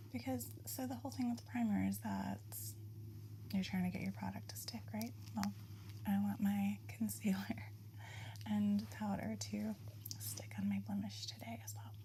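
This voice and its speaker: Against noticeable background noise, a woman with a very deep, low pitch speaks in a relaxed tone at a moderate pace, her intonation monotone and flat, with long, frequent pauses. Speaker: ASMR artist running an ASMR spa. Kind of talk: casual soft-spoken talk to camera, get ready with me. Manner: soft-spoken, relaxed, chatty.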